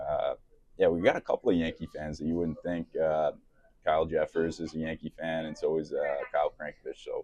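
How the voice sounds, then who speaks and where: A man with a slight New York accent at a fairly quick pace, in a dry, close recording with no echo. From New York City (Bronx). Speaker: professional hockey player. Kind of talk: casual interview. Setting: restaurant.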